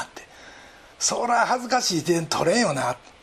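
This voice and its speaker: A man speaks at a high pitch with very wide pitch swings. Noticeable background noise sits behind him. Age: 60s. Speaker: pastor. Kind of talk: sermon.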